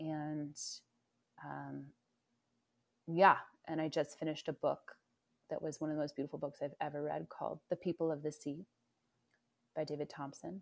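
In an American accent, a woman with a very deep, low pitch and vocal fry talks at a moderate pace in a monotone, flat intonation, with long, frequent pauses. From US West Coast, Oakland (Bay Area), California. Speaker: teacher, craftsperson and singer-songwriter. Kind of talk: casual interview chat.

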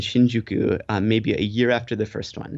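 A man with an American accent speaks in a dark, mellow tone. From US. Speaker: TV personality in Japan. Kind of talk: casual interview.

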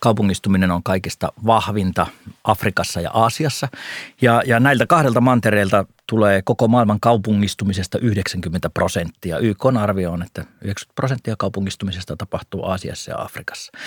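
A man's normal speaking voice, fairly low in pitch with ordinary pitch variation, at a moderate pace, dry and close with no echo, on a very clean recording with a silent background. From North Karelia, eastern Finland. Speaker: investment podcast co-host / analyst. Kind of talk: casual discussion. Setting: studio.

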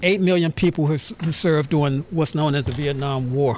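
Amid noticeable background noise, a man with a fairly high pitch talks at a moderate pace with ordinary pitch variation. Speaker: museum curator. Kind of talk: casual chat.

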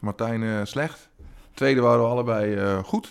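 He talks fairly slowly at a medium pitch. This man uses a normal speaking voice. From Twente, eastern Netherlands. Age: 40s. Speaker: comedian. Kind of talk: casual chat.

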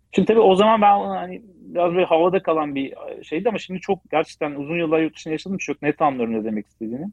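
The delivery runs at a very fast pace. Its intonation is lively. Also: man, high pitch for a man. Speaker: automotive business development director. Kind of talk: interview.

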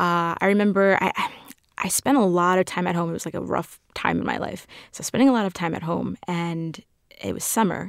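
A woman with an American accent speaks in an unremarkable speaking voice, fairly low in pitch and at a fairly quick pace. Her pitch variation is ordinary, and the recording is very clean with a silent background. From New York City (Queens). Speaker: film fan and guest TV host. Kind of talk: casual interview.

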